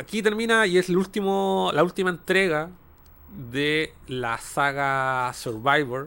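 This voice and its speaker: A man's fairly high, bright, sharp voice with a Chilean accent, very slow in pace with very wide pitch swings, in a very clean recording with a silent background. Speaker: video game podcast host. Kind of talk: casual chat.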